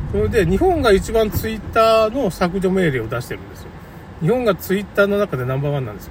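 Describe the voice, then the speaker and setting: Amid noticeable background noise, a man talks at a very fast pace in a high pitch, with very wide pitch swings and big swings in loudness. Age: 50s. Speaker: podcaster. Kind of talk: solo monologue. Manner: casual.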